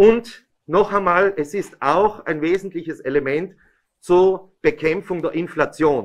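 The speech comes at a very slow pace with ordinary pitch variation against a quiet background. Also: man, high pitch for a man. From Italy. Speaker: regional politician. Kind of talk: press conference statement. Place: meeting room. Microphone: podium.

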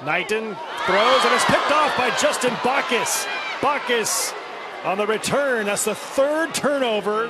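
Over noticeable background noise, a man with a high pitch speaks at a moderate pace in a raised, projected voice. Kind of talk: live sports commentary, play-by-play. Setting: stadium broadcast booth. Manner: clipped, punchy delivery with crisp short calls.

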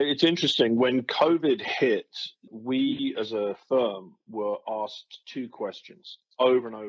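At a fairly slow pace, a man speaks in an unremarkable speaking voice of medium pitch, with ordinary pitch variation and big swings in loudness. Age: 50s. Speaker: communication consultant and author. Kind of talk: interview.

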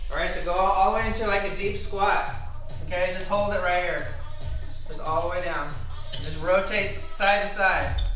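A man uses a raised, projected voice with fairly even intonation and long, frequent pauses, with audible room echo and faint music in the background. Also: moderate pace. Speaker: fitness trainer. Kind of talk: casual intro to a workout video.

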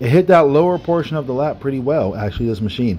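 The speaker has a dark, mellow tone and lively intonation at a moderate pace. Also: man. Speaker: fitness channel host. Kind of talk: commentary. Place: home room.

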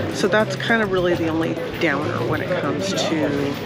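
Music plays behind a woman talking at a moderate pace. The sound is dry, with no echo. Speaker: travel vlogger. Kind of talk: casual vlog chat. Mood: reflective, mildly critical. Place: street. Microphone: phone near.

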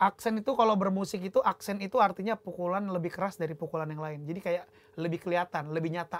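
At a very fast pace with hardly any pauses, a man with a high pitch speaks in fairly even intonation. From North Sumatra, Indonesia (Sidikalang, Batak); North Sumatra. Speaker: musician, drummer; guest. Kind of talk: casual chat. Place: studio.

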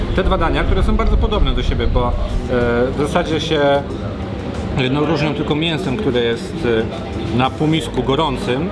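Music sits in the background of the clip. A man talks over it at a fairly quick pace, his pitch varying in an ordinary way. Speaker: food vlogger. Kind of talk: casual vlog chat. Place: cafe.

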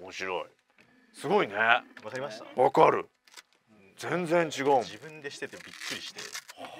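Long, frequent pauses break up speech at a moderate pace, with lively intonation and big swings in loudness, the sound dry with no echo over light background noise. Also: man, fairly high pitch for a man. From Japan, Oita; Japan. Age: 40s. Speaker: radio host. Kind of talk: casual chat. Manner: animated. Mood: surprised, enthusiastic. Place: studio. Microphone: studio mic.

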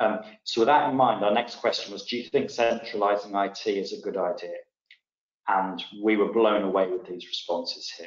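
A man talks at a moderate pace in an English accent. Room echo is audible. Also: big swings in loudness, quiet background. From England. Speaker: tech company CEO; presenter. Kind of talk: webinar presentation. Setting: online webinar. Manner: halting, many fillers and repetitions. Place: home room. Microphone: webcam.

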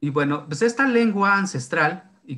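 Here a man talks at a moderate pace. His tone is bright and sharp. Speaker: presenter. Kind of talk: lecture. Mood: relaxed, explanatory. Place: home room. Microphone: webcam.

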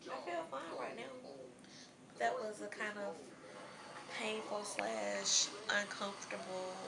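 The speaker talks at a very slow pace. Loud background noise runs under the voice. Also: woman. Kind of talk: casual vlog chat. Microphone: phone near.

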